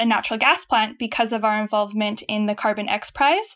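A woman's high-pitched voice at a very fast pace. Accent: Canadian. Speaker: startup chief of staff. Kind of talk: casual interview chat.

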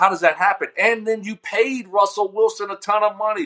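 The man's voice is raised and projected. It carries a bright, sharp tone. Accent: American. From US South, Louisiana. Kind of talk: casual sports talk interview.

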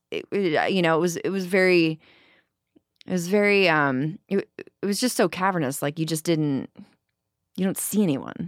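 On a very clean recording with a silent background, a woman with a normal speaking voice talks at a fairly low pitch and moderate pace, with ordinary pitch variation. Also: dry, close sound with no echo. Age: 30s. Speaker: singer. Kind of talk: casual chat.

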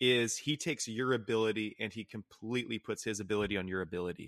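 A normal speaking voice at a fairly quick pace with ordinary pitch variation, dry and close with no echo, over a quiet background. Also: man. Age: 20s. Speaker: faith-based mental health nonprofit co-founder, former youth pastor. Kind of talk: casual interview conversation about faith.

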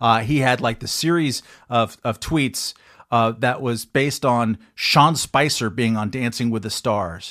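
Here a man talks at a fairly slow pace, his pitch medium. His pitch variation is ordinary, and the recording is very clean with a silent background. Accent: Californian. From Long Beach, California. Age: 50s. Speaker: journalist and political pundit. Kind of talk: interview on talk radio. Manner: halting, many fillers.

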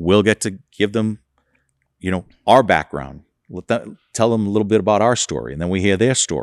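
A man with a plain, everyday voice talks at a fairly quick pace, fairly low in pitch with ordinary pitch variation. The recording is very clean, with a silent background. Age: 60s. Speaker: trucking company executive. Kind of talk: interview. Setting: on location at his company.

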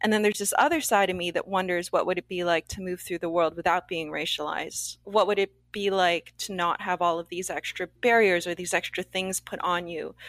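A woman's ordinary speaking voice at a medium pitch with a Canadian accent, fairly even intonation and hardly any pauses, on a very clean recording with a silent background and a dry, close sound with no echo. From Canada. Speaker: actor and TV creator. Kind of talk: interview.

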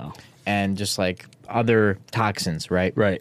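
A man's fairly low voice at a fairly slow pace. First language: Russian. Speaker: entrepreneur. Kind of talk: casual interview chat.

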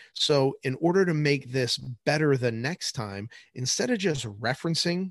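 A normal speaking voice from a man with an American accent, fairly high in pitch, with lively intonation at a moderate pace, dry and close with no echo against a quiet background. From New Jersey. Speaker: high school science teacher. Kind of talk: casual chat.

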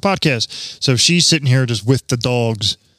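A man speaks in an ordinary speaking voice at a moderate pace, medium in pitch with lively intonation. The recording is very clean with a silent background. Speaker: podcast host. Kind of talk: casual banter podcast. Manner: profane, joking.

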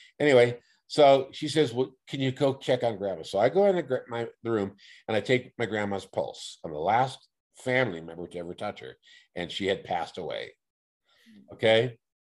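Against a quiet background, a man with an American accent talks at a medium pitch, leaving long, frequent pauses and letting his loudness swing a lot. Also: lively intonation, moderate pace. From Oakland, California. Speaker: paranormal experiencer. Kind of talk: casual interview. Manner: halting, repetitive.

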